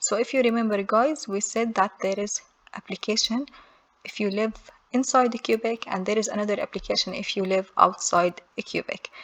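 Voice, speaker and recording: With a non-native accent, a woman speaks in a fairly high pitch. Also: fairly even intonation, moderate pace. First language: not English. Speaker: immigration how-to youtuber. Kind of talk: tutorial. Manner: reads form text aloud.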